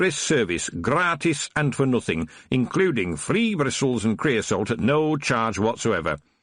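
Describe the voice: Plain reading aloud is carried by lively intonation.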